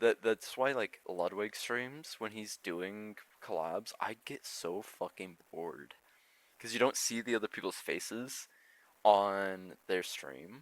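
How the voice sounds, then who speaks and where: In a dry, close recording with no echo, a man with a fairly low pitch speaks at a very slow pace in a relaxed tone, with ordinary pitch variation and big swings in loudness. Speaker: streamer and podcast co-host. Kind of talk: casual chat.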